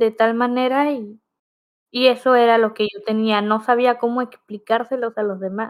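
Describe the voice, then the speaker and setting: A woman's fairly high, monotone, flat voice on a very clean recording with a silent background. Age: 20s. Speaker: radio host and guest with visual impairment. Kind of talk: interview testimony.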